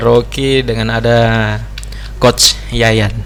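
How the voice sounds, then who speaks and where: There is noticeable noise behind the recording. The man talks rather slowly. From Indonesia, Gorontalo / South Sulawesi. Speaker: podcast host, telecom company employee. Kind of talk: casual chat.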